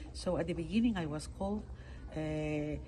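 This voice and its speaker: A woman speaks fairly slowly with a Peruvian accent. Room echo is audible. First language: Spanish. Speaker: international court judge. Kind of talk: interview. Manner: halting.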